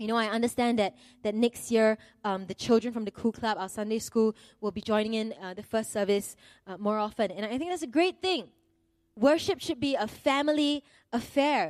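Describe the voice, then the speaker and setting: A normal speaking voice with lively intonation moves at a moderate pace. The recording is very clean and dry, close with no echo, over a silent background. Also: woman, fairly high pitch for a woman. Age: 30s. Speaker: preacher. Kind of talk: sermon. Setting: church.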